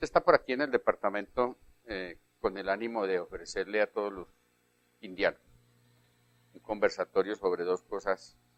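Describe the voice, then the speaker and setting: The recording is dry and close, without echo. A man does the talking. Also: long, frequent pauses, big swings in loudness. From Colombia, Quindío. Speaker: TV interviewer. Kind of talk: TV interview. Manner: formal.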